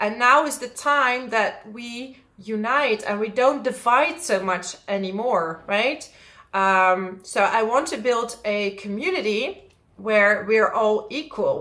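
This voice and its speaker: With a Dutch accent, a woman speaks very slowly in a bright, sharp tone and lively intonation. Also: fairly high pitch for a woman. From Netherlands. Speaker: astrologer. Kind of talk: astrology forecast monologue. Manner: casual, with frequent fillers.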